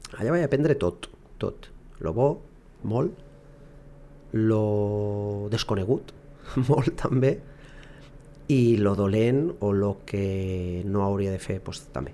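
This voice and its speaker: A man talks very slowly, with long, frequent pauses and lively intonation. His voice is fairly low, with a dark, mellow tone. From Barcelona, Catalonia. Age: 30s. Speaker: football coach. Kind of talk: interview. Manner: halting.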